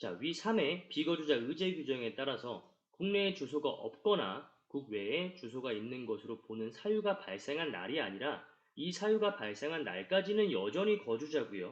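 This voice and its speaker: This man's pitch is fairly high, with very wide swings and vocal fry. He talks with hardly any pauses. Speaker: tax accountant lecturer. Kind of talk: lecture. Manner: fast.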